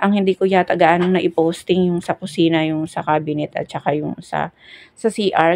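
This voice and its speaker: Soft-spoken and fairly low in pitch, a woman talks at a moderate pace with fairly even intonation in a dry, close sound with no echo. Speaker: building contractor. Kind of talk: voice-over home tour. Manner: soft, quiet voice.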